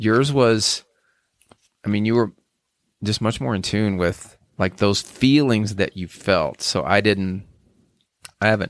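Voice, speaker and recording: A man talks at a fairly slow pace in a fairly low pitch. His pitch variation is ordinary. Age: 60s. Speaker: podcast host. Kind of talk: casual chat. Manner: halting, many fillers.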